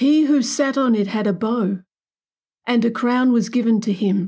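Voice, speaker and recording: Speaking very slowly, a woman uses a fairly high pitch with ordinary pitch variation. Her tone is dark and mellow, and also dramatic. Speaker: preacher. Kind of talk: sermon with scripture reading. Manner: formal, reverent, measured; slow, deliberate, dramatic in scripture passages.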